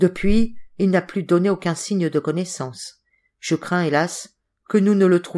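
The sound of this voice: An unforced reading voice carries the clip. Behind it, all is quiet.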